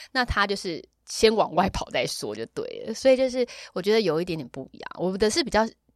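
A fairly high-pitched woman's voice with vocal fry, lively intonation, a fairly quick pace and big swings in loudness. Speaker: yoga and dance teacher, former radio host, event emcee. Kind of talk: casual chat. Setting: recording studio.

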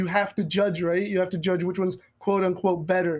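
A high-pitched male voice with an American accent and fairly even intonation, on a very clean recording with a silent background. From United States, of Indian family. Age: 20s. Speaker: poet, spoken word artist. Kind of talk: casual interview conversation.

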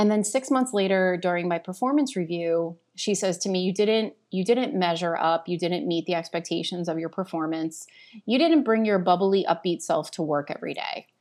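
A woman talks in an ordinary speaking voice at a medium pitch, with ordinary pitch variation and hardly any pauses. Her pace is moderate, and the recording is very clean with a silent background. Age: 40s. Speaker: corporate well-being strategist. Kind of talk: interview conversation.

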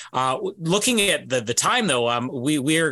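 In a very clean recording with a silent background, a man speaks at a moderate pace in a normal speaking voice with lively intonation. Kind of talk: casual chat.

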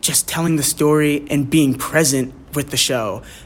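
A normal speaking voice at a moderate pace, with an American accent. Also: man. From Bucks County, Pennsylvania. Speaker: stage actor. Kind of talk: radio interview.

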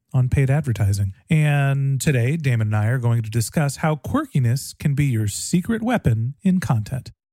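A man's medium-pitched voice, dark and mellow in tone and somewhat breathy, at a moderate pace with lively intonation. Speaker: podcast host. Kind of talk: scripted intro and interview chat. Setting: studio with microphone.

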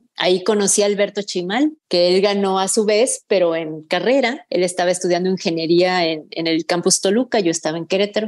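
A woman with an unremarkable speaking voice talks fairly quickly at medium pitch, with hardly any pauses. Her pitch varies in an ordinary way. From Mexico. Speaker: fiction writer. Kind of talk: interview.

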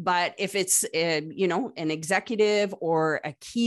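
A woman with an ordinary speaking voice talks at a medium pitch with ordinary pitch variation, on a very clean recording with a silent background. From Canada. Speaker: customer success consultant. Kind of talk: casual interview conversation.

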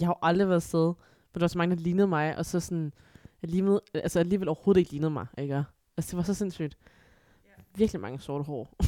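Very fast and fairly low in pitch, a woman speaks in a dark, mellow tone with ordinary pitch variation. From Aarhus, Denmark (born in China). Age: 20s. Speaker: adoptee. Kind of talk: casual chat.

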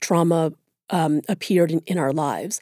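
With a dark, mellow tone and a moderate pace, the voice comes through as a dry, close sound with no echo. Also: woman, very clean recording, silent background. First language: Tagalog. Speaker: writer and professor. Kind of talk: interview.

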